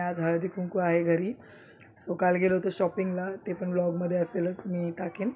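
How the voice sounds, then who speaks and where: A woman talks in a monotone, flat way at a medium pitch. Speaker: vlogger, mother. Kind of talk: casual vlog.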